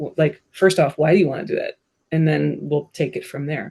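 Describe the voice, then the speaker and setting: A woman with an American accent speaks in a very deep, low voice. Her tone is dark, mellow and somewhat breathy. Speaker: bookkeeper and business consultant. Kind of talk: interview conversation. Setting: podcast studio. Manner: animated.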